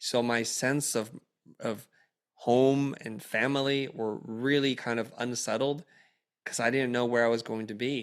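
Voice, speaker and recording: A man at a medium pitch, flat and monotone, at a fairly slow pace. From Vietnam, raised in US. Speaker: creative entrepreneur and educator. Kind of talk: interview conversation.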